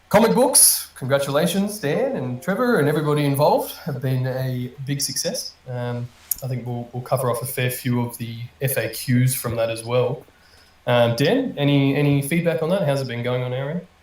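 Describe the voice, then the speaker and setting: Noticeable background noise is present in this clip. The man's voice sits fairly high in pitch. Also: ordinary pitch variation, moderate pace. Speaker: community manager hosting AMA. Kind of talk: live audio AMA panel. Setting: online audio room stage.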